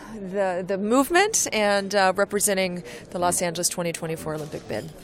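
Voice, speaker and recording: At a moderate pace, a woman talks in a plain, everyday voice with a medium pitch and ordinary pitch variation. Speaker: former Olympic swimmer and bid official. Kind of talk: interview. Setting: conference venue.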